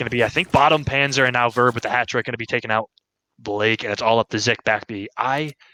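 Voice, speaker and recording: Quiet and very fast, a man talks at a medium pitch with fairly even intonation and a bright, sharp tone, the sound dry and close with no echo. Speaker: esports caster. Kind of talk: live commentary. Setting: at home.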